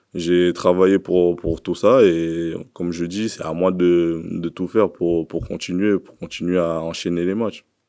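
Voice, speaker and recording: In a very clean recording with a silent background, a man with a very deep, low pitch and a dark, mellow tone speaks at a fairly slow pace in a monotone, flat intonation with hardly any pauses. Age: 20s. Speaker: professional footballer. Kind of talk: press conference. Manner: halting.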